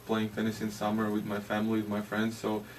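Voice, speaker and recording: A man with a Latvian accent. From Latvia, Jurmala. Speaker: ice hockey player. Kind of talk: interview. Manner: halting.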